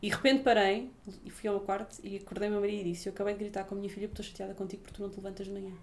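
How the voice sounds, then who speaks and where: This woman talks at a very fast pace, with big swings in loudness. Her pitch sits in the medium range and her intonation stays fairly even. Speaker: podcast host. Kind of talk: scripted outro; interview. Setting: office.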